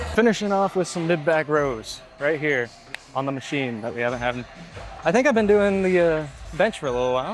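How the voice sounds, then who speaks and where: Music plays behind a man with a fairly high pitch. He talks at a fairly quick pace with lively intonation. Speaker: fitness vlogger. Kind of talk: gym vlog. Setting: gym. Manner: fast.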